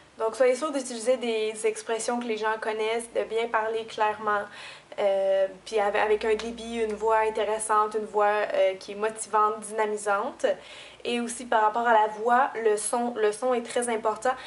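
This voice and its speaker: In a Quebec accent, a woman speaks at a moderate pace with a fairly high pitch and monotone, flat intonation. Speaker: beauty YouTuber. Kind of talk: tutorial.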